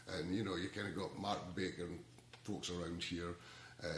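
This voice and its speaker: A man with a Scottish accent. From Scotland. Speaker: ukulele community organizer. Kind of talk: casual talk to camera. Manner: halting, many repeated words.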